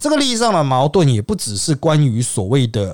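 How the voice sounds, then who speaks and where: A man speaks in a Taiwanese accent at a moderate pace. The recording is very clean, with a silent background. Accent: Taiwanese Mandarin. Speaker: political commentary podcast host. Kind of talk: solo commentary monologue.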